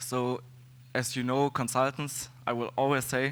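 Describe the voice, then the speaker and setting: A man with a German accent at a medium pitch. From Germany. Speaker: security consultant and conference speaker. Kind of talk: conference talk. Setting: stage with audience. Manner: halting, many fillers.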